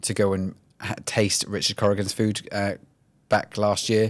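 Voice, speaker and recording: A man with a Welsh accent, fairly low in pitch, monotone and flat, at a moderate pace, on a very clean recording with a silent background. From Wales. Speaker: HR executive. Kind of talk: podcast interview.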